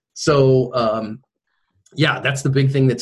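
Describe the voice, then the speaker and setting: In an American accent, a man talks at a fairly slow pace, sounding somewhat breathy. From US West Coast, San Francisco Bay Area. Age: 40s. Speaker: self-defense instructor and former pastor. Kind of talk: interview.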